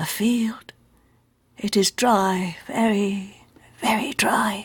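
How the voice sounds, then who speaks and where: A put-on, female-sounding character voice, whispering and mumbling at a very slow pace. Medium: read story. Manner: mumbling, whispering.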